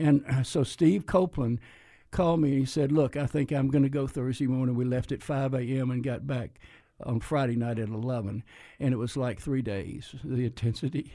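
A man with an American accent talks at a fairly quick pace, his medium pitch showing ordinary variation. The tone is dark and mellow, and the recording is very clean with a silent background. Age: 80s+. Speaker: retired pastor. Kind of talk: interview about faith experience. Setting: TV studio. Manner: animated.

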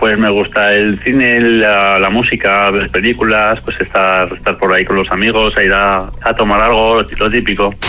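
Over noticeable background noise, a man with a fairly low voice speaks fairly slowly with hardly any pauses, fairly even intonation and very even loudness. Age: 40s. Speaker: blind date participant. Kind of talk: casual chat.

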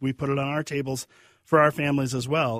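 A man talks at a fairly quick pace with a medium pitch. The sound is dry and close, with no echo. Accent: Upper Midwest. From Minnesota, Kenyon area. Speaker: pig farmer. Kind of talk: casual interview. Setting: studio.

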